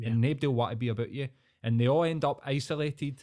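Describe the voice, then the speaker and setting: A very fast pace and fairly even intonation mark this dark, mellow voice in a Scottish accent. The recording is very clean, with a silent background. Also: man. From Scotland. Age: 30s. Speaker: podcast guest. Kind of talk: casual chat.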